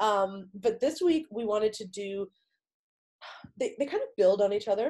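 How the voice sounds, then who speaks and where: A woman's dark, mellow voice at a medium pitch, swinging very widely, at a moderate pace. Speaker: fitness podcast host. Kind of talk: casual podcast chat. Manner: casual, filler-heavy.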